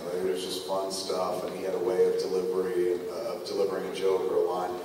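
A man talks amid noticeable background noise and strong room echo. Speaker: live podcast host. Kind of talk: comedic storytelling to a live audience. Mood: playful, animated. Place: stage.

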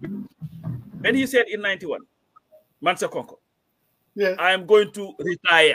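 A man uses a raised, projected voice. The background is quiet. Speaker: remote guest. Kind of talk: political commentary. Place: home room.

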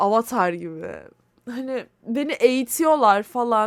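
A high-pitched woman's voice with lively intonation, on a very clean recording against a silent background. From Turkey, Istanbul. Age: 20s. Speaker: podcast host. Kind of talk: casual solo monologue. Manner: rambling conversational.

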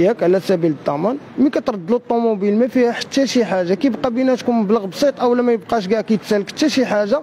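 A man with a high voice speaks with lively intonation over light background noise. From Morocco. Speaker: fraud victim. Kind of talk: street interview. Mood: aggrieved, accusatory. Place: street. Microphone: handheld.

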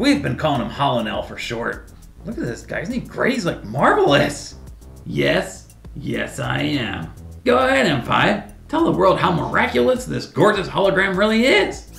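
Clear music plays in the background as a put-on character voice speaks at a moderate pace. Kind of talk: comedy web series sketch. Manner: boastful, excitable.

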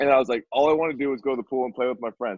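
A man with an American accent talks at a very fast pace with ordinary pitch variation. The sound is dry with no echo and a quiet background. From northern Virginia, near Washington D.C. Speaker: football coach and former quarterback; football coach. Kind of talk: casual chat. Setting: video call. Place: home room. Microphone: webcam.

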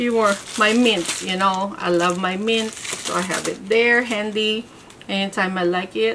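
Noticeable background noise sits behind this woman's voice. She talks at a fairly slow pace with fairly even intonation. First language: not English. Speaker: handbag reviewer. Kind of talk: casual talk to camera. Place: home room.

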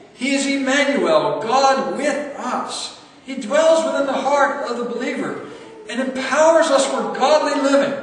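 A man's extremely high voice at a fairly slow pace, with lively intonation, few pauses and strong room echo

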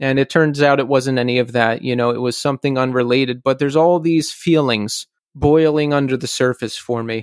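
In a normal speaking voice, a man talks at a fairly quick pace with hardly any pauses, medium pitch and fairly even intonation, the sound dry and close with no echo. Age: 40s. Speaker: podcast host. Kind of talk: solo intro and outro monologue; casual interview chat.

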